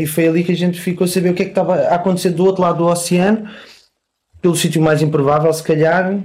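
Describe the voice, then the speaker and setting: A man's very fast delivery in a dark, mellow tone. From Portugal. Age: 40s. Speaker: punk musician. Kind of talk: casual interview.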